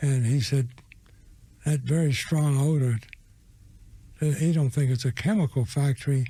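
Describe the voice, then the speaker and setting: With long, frequent pauses, a man with an American accent speaks at a moderate pace, his fairly high voice somewhat breathy and his loudness very even. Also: ordinary pitch variation. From US South. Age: 80s+. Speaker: war veteran. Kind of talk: testimony.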